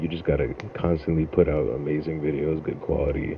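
A man with a New York accent speaks in a very deep, low pitch with monotone, flat intonation. Noticeable background noise runs underneath. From Long Island, New York. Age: young. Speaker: streamer. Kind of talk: casual chat.

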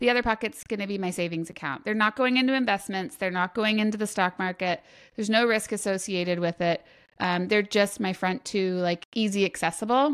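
A woman at a fairly quick pace, a plain, everyday voice with ordinary pitch variation, on a very clean recording with a silent background. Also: medium pitch for a woman. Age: 40s. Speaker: finance and accounting consultant. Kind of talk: interview.

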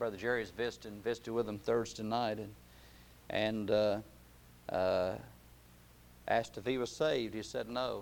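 A man speaks with fairly even intonation and long, frequent pauses. Audible room echo surrounds his voice. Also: moderate pace. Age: 50s. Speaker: pastor. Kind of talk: sermon.

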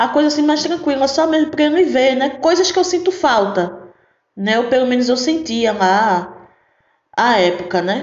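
In a Pernambuco accent, a woman with an animated tone speaks at a high pitch with very wide pitch swings and very even loudness, with audible room echo around her. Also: moderate pace. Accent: Pernambuco accent, noticeable. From Recife, Pernambuco, Brazil. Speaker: podcast host. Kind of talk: casual monologue.

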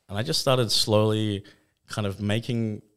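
On a very clean recording against a silent background, a man speaks with an Australian accent. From Western Australia, Fremantle. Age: 30s. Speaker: photographer and filmmaker. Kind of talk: casual chat. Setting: studio.

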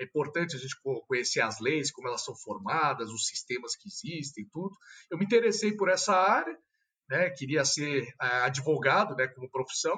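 A man with a plain, everyday voice, fairly high pitch, lively intonation, moderate pace and big swings in loudness. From São Paulo, Brazil. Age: 30s. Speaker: politician. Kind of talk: casual interview.

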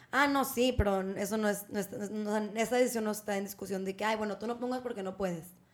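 A woman talks at a fairly quick pace with hardly any pauses, her pitch fairly high and her intonation fairly even. Noticeable background noise sits under her voice. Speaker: podcast co-host. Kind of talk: casual chat.

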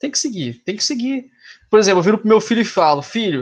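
Lively intonation runs through this man's speech. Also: quiet background. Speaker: podcast guest. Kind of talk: casual chat.

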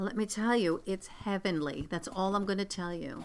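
Ordinary pitch variation runs through a woman's voice. She talks at a moderate pace. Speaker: podcast co-host. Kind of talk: casual chat. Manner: loud.

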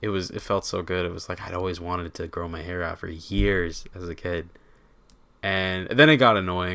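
A man with an American accent and a very deep, low pitch talks at a moderate pace in a bright, sharp tone with fairly even intonation and big swings in loudness, on a very clean recording with a silent background. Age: 20s. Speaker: podcast host. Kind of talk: casual chat.

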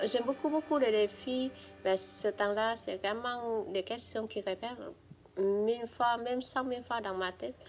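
A woman speaks at a fairly slow pace with a Vietnamese accent. Her pitch is fairly high, with ordinary variation. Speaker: immigrant witness. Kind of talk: testimony.

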